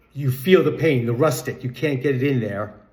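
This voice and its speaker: A man at a medium pitch, with audible room echo. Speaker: music commentary vlogger. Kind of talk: casual monologue.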